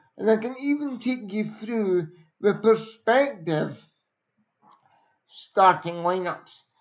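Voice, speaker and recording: Speaking at a very slow pace, a man with a high pitch uses ordinary pitch variation. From Scotland. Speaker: football pundit. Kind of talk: live stream football review.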